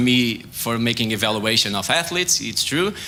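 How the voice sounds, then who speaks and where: A man with a Portuguese accent and lively intonation at a moderate pace, with noticeable background noise and audible room echo. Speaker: sports science researcher. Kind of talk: science talk competition. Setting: stage with audience. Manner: halting.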